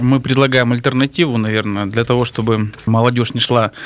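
A man at medium pitch talking at a very fast pace, monotone and flat in intonation. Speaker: city council member and athlete. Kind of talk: radio talk show discussion. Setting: studio.

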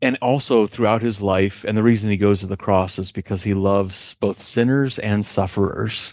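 Against a quiet background, a man with a normal speaking voice speaks at a moderate pace and a fairly low pitch, with fairly even intonation and hardly any pauses. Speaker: author. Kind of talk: interview conversation.

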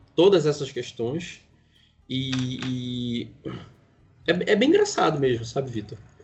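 A man's medium-pitched voice at a very slow pace, with ordinary pitch variation, long and frequent pauses, and music in the background. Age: 40s. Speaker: writer and podcaster. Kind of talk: casual interview.

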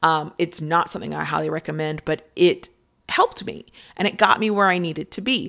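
Fairly quick and low-pitched, a woman speaks with vocal fry and ordinary pitch variation. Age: 30s. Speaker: podcast host and freelance sex writer. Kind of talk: solo podcast monologue. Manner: casual, with fillers and restarts.

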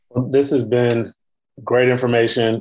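A man at a moderate pace over a quiet background. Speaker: podcast co-host. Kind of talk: casual chat and interview. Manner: jokey, animated.

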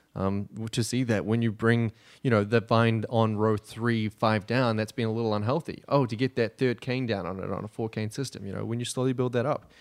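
With a New Zealand accent, a man speaks fairly quickly at medium pitch with hardly any pauses, in a very clean recording with a silent background and a dry, close sound with no echo. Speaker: assistant winemaker. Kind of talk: casual chat. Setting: studio.

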